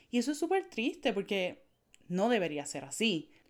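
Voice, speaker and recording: On a very clean recording with a silent background, a woman speaks in a fairly high pitch with a Puerto Rican accent. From Puerto Rico, Naranjito. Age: 20s. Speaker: tech consultant for women entrepreneurs. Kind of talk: podcast monologue.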